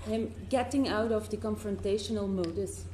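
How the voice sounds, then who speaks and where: A woman's voice with audible room echo. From Flanders, Belgium. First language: Dutch (Flemish). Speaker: member of parliament. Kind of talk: parliamentary questioning. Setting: committee hearing room.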